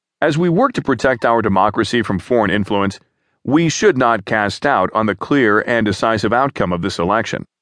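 A man has an unremarkable speaking voice with a medium pitch and ordinary pitch variation. He speaks at a fairly quick pace against a quiet background. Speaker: news reader. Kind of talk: formal news reading of a written article, steady and even. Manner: formal; measured, neutral, even-paced newsreader delivery.

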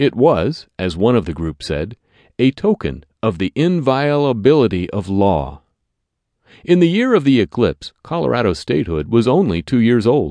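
The voice has a dark, mellow tone and swings very widely in pitch. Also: man, medium pitch for a man, moderate pace. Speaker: audiobook narrator. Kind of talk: scripted audiobook narration of history, formal newsreading style. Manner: formal, measured, clear, authoritative.

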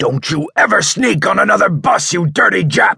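Shouting in a put-on character voice, a man sounds raspy at a high pitch. He keeps a moderate pace in a dry, close sound with no echo. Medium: read story. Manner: furious, threatening, shouting.

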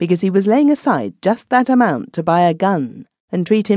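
Nothing much stirs in the quiet background. Over it comes a natural reading voice.

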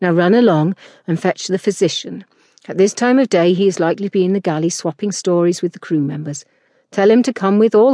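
Ordinary pitch variation in an unforced reading voice, with a quiet background.

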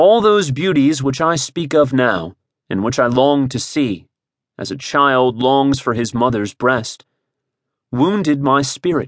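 Against a quiet background, a man talks in a plain, everyday voice at a medium pitch, with lively intonation and a fairly slow pace. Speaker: audiobook narrator. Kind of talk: scripted audiobook narration, dramatic reading of memoir prose. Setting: studio. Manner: slow, solemn, measured; wistful, sorrowful, expressive.

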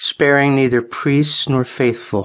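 In an ordinary speaking voice, a man talks fairly slowly at a fairly high pitch with fairly even intonation. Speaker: audiobook narrator. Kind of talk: audiobook narration, scripted religious history read aloud. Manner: formal, measured, solemn.

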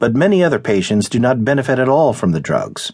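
The voice belongs to a man whose pitch swings very widely. The background is quiet. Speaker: audiobook narrator. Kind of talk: audiobook reading of a news article, scripted narration. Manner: formal, even-paced, measured.

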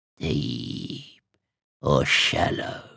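A man puts on a character voice that comes out croaky and raspy. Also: very deep, low pitch for a man.

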